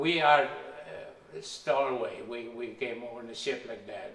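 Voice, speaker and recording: Noticeable background noise and audible room echo are present. A man talks very slowly. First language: not English. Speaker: immigrant telling his life story. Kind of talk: life story interview. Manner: halting.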